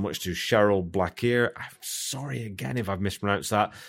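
The recording is very clean with a silent background. A man speaks at a fairly low pitch.

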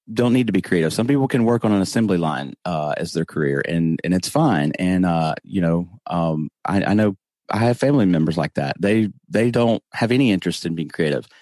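Lively intonation at a moderate pace over a quiet background. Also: man. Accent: Southern US. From US South. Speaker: podcast host. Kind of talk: casual interview. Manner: humorous.

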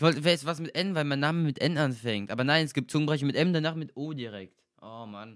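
A man talks at a very fast pace and a fairly high pitch. His pitch varies in an ordinary way on a very clean recording with a silent background. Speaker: community radio host. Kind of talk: casual bilingual radio hosting. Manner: lively, frequent laughter.

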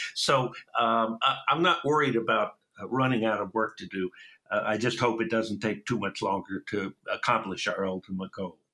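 A man speaks at a moderate pace with an American accent, his medium-pitched voice bright and sharp in tone, with ordinary pitch variation. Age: 70s. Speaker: activist, founder of advocacy group. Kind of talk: interview.

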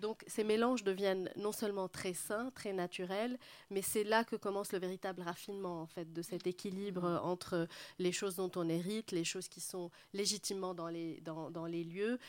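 A woman with an unremarkable speaking voice talks at a fairly slow pace and medium pitch, her intonation fairly even, on a very clean recording with a silent background. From Lebanon, Beirut. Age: 40s. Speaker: interior architect. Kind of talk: public panel talk.

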